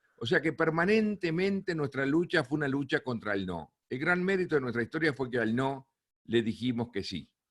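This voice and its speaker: Speaking with a Uruguayan accent, a man moves at a moderate pace. His intonation is lively. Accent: Uruguayan Rioplatense Spanish. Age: 60s. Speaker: plane crash survivor and speaker. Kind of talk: talk to a film club.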